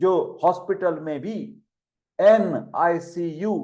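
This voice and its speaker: A man with a Marathi accent. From Maharashtra, India. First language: Marathi (speaking Hindi). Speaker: Ayurveda professor. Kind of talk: lecture. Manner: conversational, Hindi-English mixed.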